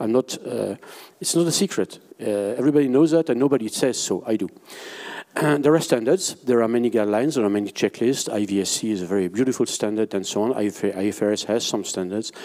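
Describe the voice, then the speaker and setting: A man with a medium-pitched voice and a dark, mellow tone speaks at a very fast pace with ordinary pitch variation. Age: 60s. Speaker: IP valuation expert, conference panelist. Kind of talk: conference panel presentation. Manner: halting, many fillers and restarts.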